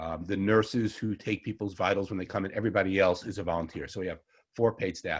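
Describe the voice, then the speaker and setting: In a Long Island accent, a man talks at a very fast pace with a fairly low pitch and fairly even intonation, on a very clean recording with a silent background. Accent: Long Island New York. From Long Island, New York. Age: 60s. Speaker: herbalist. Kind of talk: lecture.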